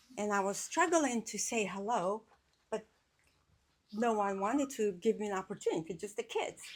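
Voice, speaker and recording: A woman speaks at a fairly high pitch with an Albanian accent. Her speech has long, frequent pauses. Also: ordinary pitch variation, moderate pace. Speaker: community speaker at a memorial event. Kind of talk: speech at a memorial gathering.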